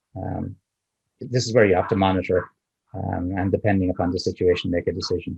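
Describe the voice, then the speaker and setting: In an Irish accent, a man talks at a fairly quick pace in a fairly low, dark, mellow, somewhat breathy voice, dry and close with no echo. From Ireland. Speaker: options trader. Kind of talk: interview answer.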